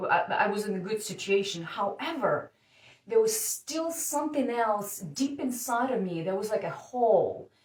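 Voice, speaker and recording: Somewhat breathy, a woman speaks with a Russian accent at a fairly high pitch. Her intonation is lively and her pace moderate. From Siberia, Russia. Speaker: dating coach. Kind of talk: personal story told to camera. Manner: hesitant, casual.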